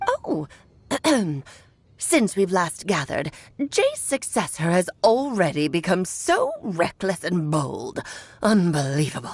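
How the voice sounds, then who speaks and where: Using a put-on character voice, the speaker goes at a fairly slow pace. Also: woman, medium pitch for a woman. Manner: haughty, scolding.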